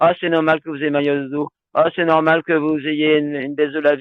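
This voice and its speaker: A man at a fairly high pitch and a fairly slow pace. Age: 60s. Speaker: health talk presenter. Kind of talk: live online talk with Q&A. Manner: hesitant, many fillers.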